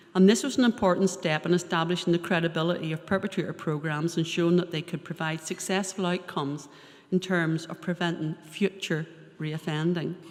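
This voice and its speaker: A woman with a Northern Irish accent speaks in a fairly low pitch. Her pace is fairly quick, and her intonation is fairly even. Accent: Northern Irish (Ballymena). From Northern Ireland, Ballymena. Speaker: probation service adviser. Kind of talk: seminar talk.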